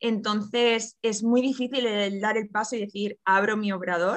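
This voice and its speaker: Heard here is a plain, everyday voice with fairly even intonation. The sound is dry and close, with no echo. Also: woman. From Catalonia, Barcelona. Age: 30s. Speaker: pastry chef. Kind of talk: interview.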